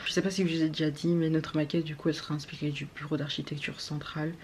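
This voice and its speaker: Speaking at a very fast pace, a woman delivers her words in a very deep, low pitch with monotone, flat intonation. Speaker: architecture student vlogger. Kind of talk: casual vlog talk.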